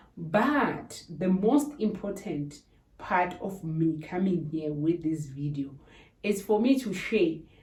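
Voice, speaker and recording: A woman with a fairly low voice speaks at a very slow pace with lively intonation. Noticeable background noise and audible room echo are present. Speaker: YouTuber. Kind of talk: tutorial.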